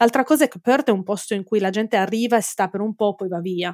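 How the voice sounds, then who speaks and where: With a dark, mellow tone and medium pitch, a woman speaks at a fairly quick pace, the sound dry and close with no echo. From Italy. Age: 40s. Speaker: forensic entomologist. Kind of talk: interview. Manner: halting.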